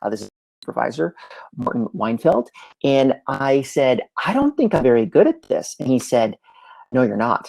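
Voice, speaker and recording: A man speaks at a moderate pace with long, frequent pauses. The sound is dry and close, with no echo. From Canada, Montreal. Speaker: entrepreneur and remote work speaker. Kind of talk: live presentation. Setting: livestream.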